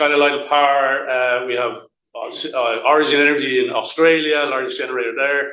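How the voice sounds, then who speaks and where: Audible room echo surrounds a man speaking with an Irish accent at a fairly quick pace. His fairly high voice keeps a monotone, flat intonation. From Ireland. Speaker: utility company representative. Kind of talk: panel presentation. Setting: hybrid event, live and online audience. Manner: fast; halting, repetitive.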